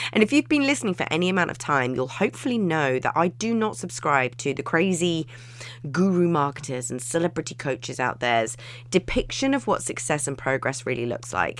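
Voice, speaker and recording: A woman speaks at a fairly quick pace with an English accent, her pitch very deep and low and her intonation lively. The recording is very clean, with a silent background. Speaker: business and wellbeing coach. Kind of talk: podcast monologue. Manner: animated.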